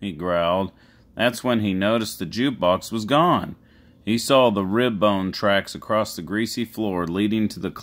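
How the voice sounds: Text is being read here. The reading voice sounds natural.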